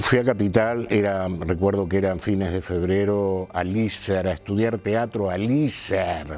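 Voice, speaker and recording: Over noticeable background noise, a man with a fairly low voice and ordinary pitch variation talks at a very slow pace. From Argentina, Buenos Aires area (Morón). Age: 60s. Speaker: actor and theatre teacher. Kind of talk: interview.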